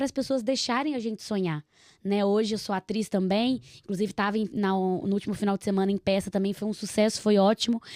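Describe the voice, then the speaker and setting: Speaking at a very fast pace with a Minas Gerais accent, a woman has a fairly high pitch and a dark, mellow tone. The recording is very clean, with a silent background and a dry, close sound with no echo. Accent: mineiro. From Minas Gerais, Brazil (Nova Lima). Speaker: podcast host. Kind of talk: casual chat.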